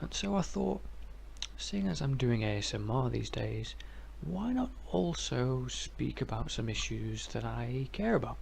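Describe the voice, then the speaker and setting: Soft-spoken and relaxed in tone, a man talks. His pace is fairly slow. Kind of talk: ASMR philosophy ramble. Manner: soft-spoken, relaxed.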